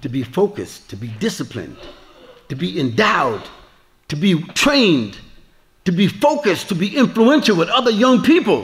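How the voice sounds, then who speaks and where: A man's high-pitched voice with very wide pitch swings, long and frequent pauses, and audible room echo. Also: moderate pace. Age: 70s. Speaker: Islamic preacher. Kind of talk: lecture with Q&A. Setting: mosque with audience.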